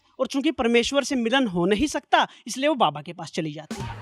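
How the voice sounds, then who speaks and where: A man's extremely high voice with very wide pitch swings, a moderate pace, a dry, close sound with no echo, and music in the background. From Sirsa, Haryana. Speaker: stand-up comedian and poet. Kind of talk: stand-up comedy set.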